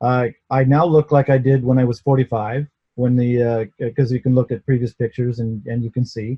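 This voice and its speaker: Speaking at a fairly quick pace, a man with a medium-pitched, somewhat breathy voice keeps a monotone, flat intonation. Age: 60s. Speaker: inventor and seller of gas therapy devices. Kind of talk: interview testimony. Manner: halting, with many repeated words.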